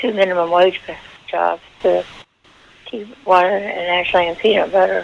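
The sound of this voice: Vocal fry runs through the voice. The pace is fairly slow. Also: woman.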